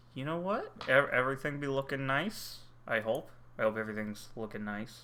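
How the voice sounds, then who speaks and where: A man talks loudly at a fairly quick pace with lively intonation. His medium-pitched voice has a bright, sharp tone. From United States. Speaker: streamer. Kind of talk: casual chat.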